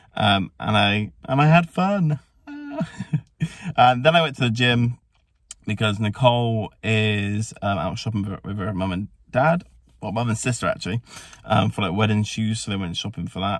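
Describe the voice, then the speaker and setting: A man's fairly low voice, dry with no echo, over a quiet background, at a moderate pace with long, frequent pauses. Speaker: family vlogger. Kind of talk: casual vlog chat. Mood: cheerful, relaxed. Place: car. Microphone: phone near.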